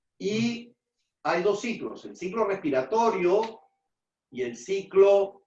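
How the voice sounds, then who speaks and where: A man talks very slowly in a high pitch. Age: 60s. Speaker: immunologist, lecturer. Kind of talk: lecture.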